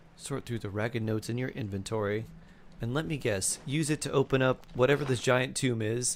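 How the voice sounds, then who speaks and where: A man with an American accent talks at a fairly quick pace with ordinary pitch variation. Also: medium pitch for a man. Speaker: game streamer. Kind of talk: casual chat. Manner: animated.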